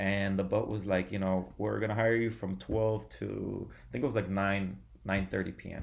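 A man talks in an ordinary speaking voice, pitched fairly low. His pitch varies in an ordinary way, and his pace is moderate. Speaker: former bodybuilder, yoga practitioner and DJ. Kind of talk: casual interview chat. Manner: casual, many filler words.

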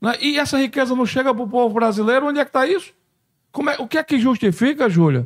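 With lively intonation, a man keeps his speech at a fairly quick pace. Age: 60s. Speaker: congressman. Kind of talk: interview.

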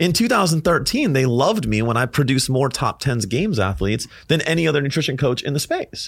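Animated and somewhat breathy, the voice rushes at a very fast pace with hardly any pauses, lively intonation and very even loudness. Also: man, fairly high pitch for a man. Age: 30s. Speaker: fitness business coach and speaker. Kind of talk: casual chat. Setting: studio.

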